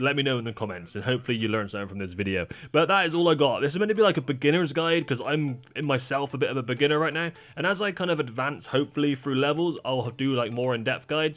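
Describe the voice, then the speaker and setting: A man's very fast, lively speech at a fairly high pitch, with music in the background. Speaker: gaming YouTuber. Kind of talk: tutorial.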